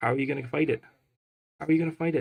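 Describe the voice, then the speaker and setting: Somewhat breathy in quality, the man's voice shows ordinary pitch variation. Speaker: card game tournament commentator. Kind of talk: live commentary. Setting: live tournament stream. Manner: animated.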